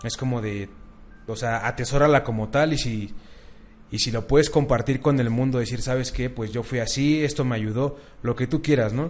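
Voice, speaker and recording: A normal speaking voice from a man at medium pitch, with fairly even intonation and a moderate pace. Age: 20s. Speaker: marketing student and bodybuilder. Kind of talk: casual chat.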